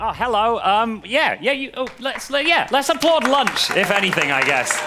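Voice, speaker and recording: With crowd noise in the background, a man speaks in an English accent. His pitch is extremely high, with lively intonation. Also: moderate pace. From England. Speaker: comedian and freestyle rapper. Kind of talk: stand-up comedy to a live audience.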